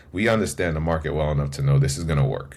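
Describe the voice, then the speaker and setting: A man with a New York accent speaks in a very deep, low pitch with vocal fry. His intonation is monotone and flat, with audible room echo. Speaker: event business co-founder. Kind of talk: podcast interview. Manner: casual, filler-heavy.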